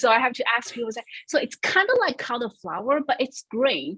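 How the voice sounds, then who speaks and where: The speaker has a Chinese accent. The delivery moves at a fairly quick pace. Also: woman. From China, Shanghai. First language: Shanghainese and Mandarin Chinese. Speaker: creative director at a financial firm. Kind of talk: interview.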